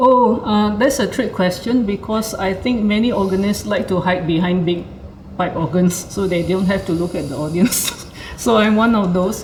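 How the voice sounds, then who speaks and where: Amid noticeable background noise and audible room echo, a woman speaks at a medium pitch. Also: ordinary pitch variation, moderate pace. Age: 60s. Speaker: organist. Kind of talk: casual chat. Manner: hesitant, with fillers.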